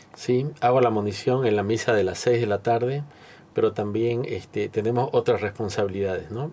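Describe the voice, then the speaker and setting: A man speaks at a moderate pace with fairly even intonation and a fairly low pitch. It is an ordinary speaking voice. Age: 60s. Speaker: cattle rancher and parish volunteer. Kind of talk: testimony interview.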